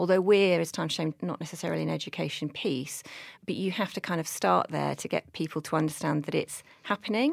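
Very fast speech comes from a woman on a very clean recording with a silent background. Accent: British. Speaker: mental health charity director. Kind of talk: interview chat.

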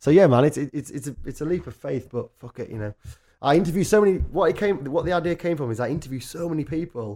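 A man with a Yorkshire accent, very fast, with lively intonation, a fairly high pitch and a dark, mellow tone. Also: very clean recording, silent background. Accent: northern English (Yorkshire). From North Yorkshire, England. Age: 20s. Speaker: musician and journalist. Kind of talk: casual chat. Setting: studio.

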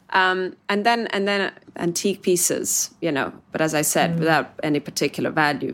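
Speaking with an Italian accent, a woman talks at a moderate pace in a fairly low pitch with ordinary variation and hardly any pauses, on a very clean recording with a silent background. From Italy, Milan. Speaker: magazine founder and editor. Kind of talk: podcast interview.

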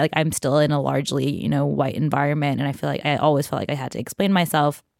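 With an American accent, a woman talks at a very fast pace in a very deep, low pitch with vocal fry. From Queens, New York. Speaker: tech reporter. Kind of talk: casual chat.

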